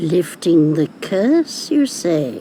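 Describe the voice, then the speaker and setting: A cartoonish character voice at a middle pitch plays over clear background noise. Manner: cackling, knowing.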